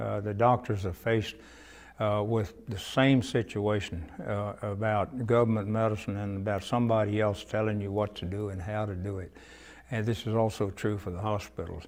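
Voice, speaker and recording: A man with a Texan accent speaks at a fairly low pitch and a moderate pace, keeping his intonation fairly even. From Cuero, Texas. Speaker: retired pharmacist. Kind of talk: oral history interview answer.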